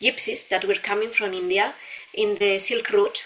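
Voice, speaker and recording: A woman speaks at a fairly high pitch in a Spanish accent, with ordinary pitch variation. Noticeable background noise runs behind her. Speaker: dancer and dance teacher. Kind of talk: interview. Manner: halting, with repeated words.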